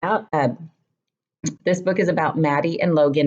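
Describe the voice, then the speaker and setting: A woman's voice sits at a very deep, low pitch with ordinary pitch variation. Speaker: book reviewer and health coach. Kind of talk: casual talk to camera. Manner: chatty, with many fillers.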